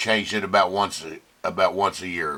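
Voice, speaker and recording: A man speaks at a fairly low pitch with a bright, sharp tone. His intonation stays fairly even. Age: 70s. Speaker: lawn equipment vlogger. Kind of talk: casual video monologue. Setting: at home. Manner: halting, with filler words.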